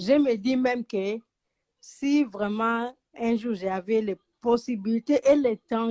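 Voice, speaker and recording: A woman's fairly high voice in a dry, close sound with no echo. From Angola. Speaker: caller. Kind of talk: call-in chat.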